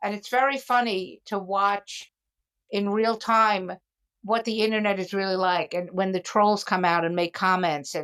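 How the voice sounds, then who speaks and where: A woman speaks at medium pitch and a moderate pace, with ordinary pitch variation. It is a plain, everyday voice, recorded very cleanly against a silent background. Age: 60s. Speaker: comedian and podcast host. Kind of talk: casual chat.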